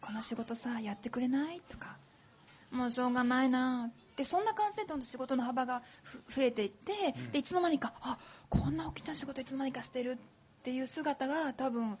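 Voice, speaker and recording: Lively intonation and big swings in loudness at a fairly quick pace, over noticeable background noise. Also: woman, high pitch for a woman. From Yokohama, Japan. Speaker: business author, former executive secretary. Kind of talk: talk at live public recording. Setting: stage with audience.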